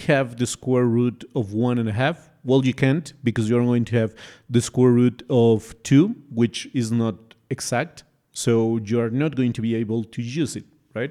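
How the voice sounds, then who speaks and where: In a very clean recording with a silent background, a man with a non-native accent speaks in a dark, mellow tone. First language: not English. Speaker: math tutor. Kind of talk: tutorial. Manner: casual, hesitant with fillers.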